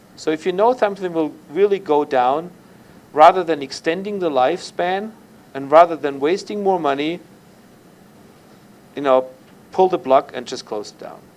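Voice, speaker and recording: Speaking with a German accent at a moderate pace, a man with a high pitch leaves long, frequent pauses and shows big swings in loudness. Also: ordinary pitch variation. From Germany. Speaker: university lecturer. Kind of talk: lecture.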